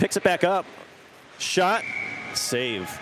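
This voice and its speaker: Noticeable background noise accompanies a man whose pitch swings very widely as he talks. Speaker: hockey play-by-play commentator. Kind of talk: live commentary. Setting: standing by boards in cold rink. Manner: quivering voice from cold; fast.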